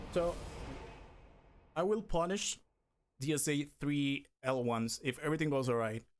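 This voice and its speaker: On a very clean recording with a silent background, a man with a non-native accent speaks at a fairly high pitch. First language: not English. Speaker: speedrunner. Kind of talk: live gameplay commentary. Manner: halting.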